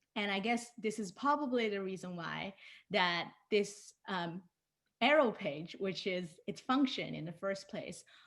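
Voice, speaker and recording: In a very clean recording with a silent background, a woman with a Chinese accent speaks at a medium pitch, fairly slowly, with lively intonation. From China (Shanghai). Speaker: designer and illustrator. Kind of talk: conference talk.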